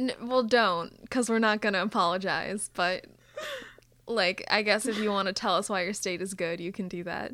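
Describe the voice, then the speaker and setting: A woman with an American accent speaks at a medium pitch with fairly even intonation. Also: moderate pace. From Minnesota. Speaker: podcast co-host. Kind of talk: casual chat. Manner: halting.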